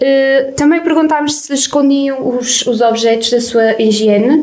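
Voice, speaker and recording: In a room with audible echo and noticeable background noise, a woman speaks fairly slowly in a high voice with ordinary pitch variation. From Portugal, Viseu district (near Sátão). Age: 20s. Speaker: student radio host. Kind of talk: casual radio chat.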